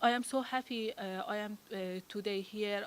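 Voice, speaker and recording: Speaking at medium pitch and a moderate pace, a woman talks with a non-native accent. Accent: foreign. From Afghanistan. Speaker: women's rights advocate and public official. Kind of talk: invited talk. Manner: halting, many fillers.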